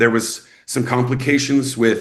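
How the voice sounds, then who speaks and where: With audible room echo around him, a man speaks at medium pitch in an American accent with fairly even intonation. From Texas, Snyder. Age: 40s. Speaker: actor and filmmaker. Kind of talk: interview. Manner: casual, filler-heavy.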